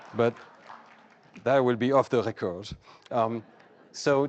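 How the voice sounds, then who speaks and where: A man speaks in a French accent. The background is quiet. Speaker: cognitive psychologist, prize winner. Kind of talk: award acceptance lecture. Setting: stage with audience. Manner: formal.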